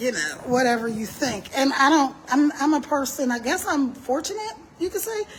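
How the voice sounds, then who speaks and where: Her voice high and animated with lively intonation, a woman speaks over noticeable background noise. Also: moderate pace. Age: 60s. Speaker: entrepreneur and live streamer. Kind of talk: casual live stream talk. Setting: outdoors walking on a street.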